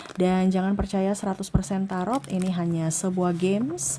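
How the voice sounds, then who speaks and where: A soft-spoken woman's somewhat breathy, dark and mellow voice at medium pitch and a moderate pace. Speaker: tarot reader. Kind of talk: tarot reading.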